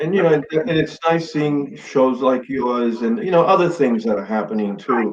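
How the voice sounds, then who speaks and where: At a moderate pace, an ordinary speaking voice with an American accent talks with lively intonation. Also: man. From New York City, Bronx. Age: 60s. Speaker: Stonewall veteran, activist. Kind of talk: interview chat.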